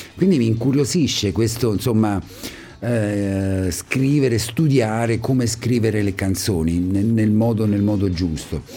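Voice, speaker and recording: Over noticeable background noise, a man talks at a fairly slow pace in a fairly low pitch, with ordinary pitch variation and very even loudness. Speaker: radio host. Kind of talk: radio interview. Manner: warm, chatty, enthusiastic.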